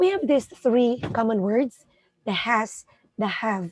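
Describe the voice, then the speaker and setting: A woman talks at a very slow pace with lively intonation. The sound is dry and close, with no echo. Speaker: English teacher. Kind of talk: tutorial. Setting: live stream.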